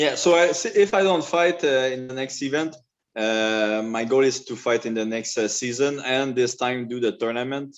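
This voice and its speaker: With a French accent, a man speaks at a moderate pace and medium pitch, his pitch varying in an ordinary way. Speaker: mixed martial arts fighter. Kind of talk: interview. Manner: halting.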